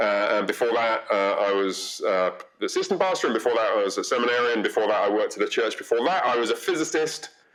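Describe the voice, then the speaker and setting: Over noticeable background noise, a man speaks very fast with hardly any pauses and very even loudness. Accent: English. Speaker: pastor. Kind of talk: podcast interview.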